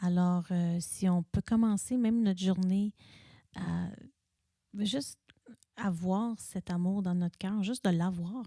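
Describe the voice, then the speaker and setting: A woman at a medium pitch with a dark, mellow, somewhat breathy tone, at a very slow pace with long, frequent pauses and fairly even intonation, in a very clean, dry, close recording with a silent background and no echo. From Montreal, Italian family. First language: not French (third language) (speaking French). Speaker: high school English teacher, podcast guest. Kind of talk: testimony interview. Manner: halting.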